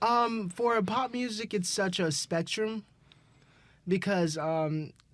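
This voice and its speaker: A man with an American accent talks at a fairly slow pace with lively intonation. The recording is very clean, with a silent background. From Mississippi, Jackson. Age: 20s. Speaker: singer and musician. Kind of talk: interview. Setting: studio. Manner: hesitant, many fillers.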